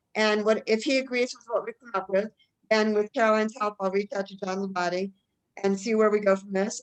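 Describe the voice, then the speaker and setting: Fairly quick and fairly high-pitched, a woman talks with ordinary pitch variation. It is a normal speaking voice. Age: 60s. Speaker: meeting organizer. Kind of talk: video meeting discussion.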